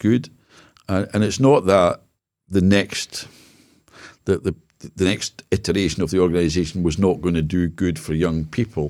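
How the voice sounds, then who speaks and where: A man's very deep, low voice with a Scottish accent and ordinary pitch variation. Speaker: business consultant and former charity CEO. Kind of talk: casual interview chat. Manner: halting, repeats words.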